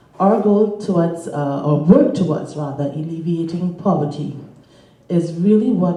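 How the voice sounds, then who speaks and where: A woman talks with ordinary pitch variation, her voice carrying audible room echo and noticeable background noise. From Caribbean. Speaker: panelist, charity network staff. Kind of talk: conference panel remarks.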